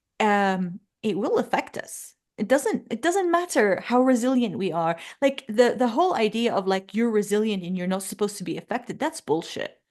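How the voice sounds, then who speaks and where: Moving through very wide pitch swings, a woman with an Arabic accent speaks at a fairly high pitch and a moderate pace. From Jordan. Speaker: podcast host and money coach. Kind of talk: casual interview chat.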